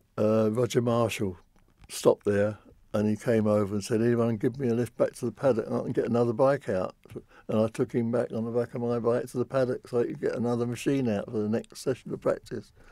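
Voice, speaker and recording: The man's voice is dark and mellow at medium pitch. He speaks at a very fast pace with fairly even intonation. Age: 80s+. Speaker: Second World War historian. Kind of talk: interview.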